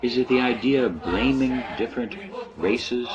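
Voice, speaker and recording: Over music in the background, a man talks at a moderate pace with a medium pitch. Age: 60s. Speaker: political commentator. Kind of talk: political monologue.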